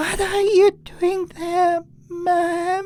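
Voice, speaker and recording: A woman performs a put-on character voice at an extremely high pitch. It comes out shaky, with monotone, flat intonation. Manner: eerie, unsettling.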